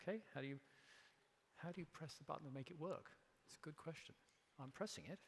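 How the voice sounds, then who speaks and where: A man with an English accent, fairly high-pitched, talking at a very fast pace with long, frequent pauses and ordinary pitch variation. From England. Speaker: company CEO, keynote speaker. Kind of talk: keynote speech. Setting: stage with audience.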